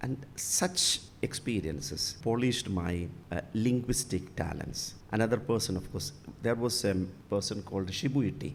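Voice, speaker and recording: A man with a Keralan accent and medium pitch speaks at a moderate pace with lively intonation and vocal fry, with audible room echo. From Kerala, India. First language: Malayalam. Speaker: bishop. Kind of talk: interview. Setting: church. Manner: halting.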